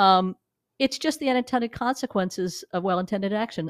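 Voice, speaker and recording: The sound is dry and close with no echo, on a very clean recording with a silent background. It is a plain, everyday voice with an American accent and ordinary pitch variation. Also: woman. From New York. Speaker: digital media executive. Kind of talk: interview. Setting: studio.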